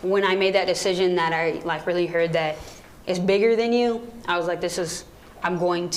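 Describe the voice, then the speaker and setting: A woman talks at a fairly low pitch. Audible room echo and noticeable background noise are present. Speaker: radio program director. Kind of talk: audience Q&A talk. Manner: fast.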